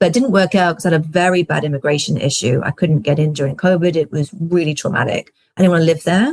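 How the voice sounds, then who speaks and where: With a British accent and a fairly low, somewhat breathy voice, a woman talks very fast with hardly any pauses, recorded dry and close with no echo. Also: ordinary pitch variation. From UK. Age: 40s. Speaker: film festival consultant. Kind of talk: interview conversation.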